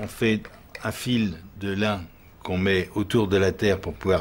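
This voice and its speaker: A man's voice is heard here. It sits very deep and low in pitch. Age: 70s. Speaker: artisan plaster mould maker, workshop owner. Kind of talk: interview. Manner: halting, with repetitions and fillers.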